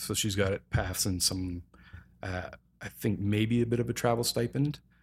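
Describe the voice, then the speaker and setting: In a very clean recording with a silent background, a man speaks with a Canadian accent. A plain, everyday voice, fairly low in pitch, holds fairly even intonation. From Calgary, Alberta, Canada. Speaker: equipment rental company representative and film producer. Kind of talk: casual interview.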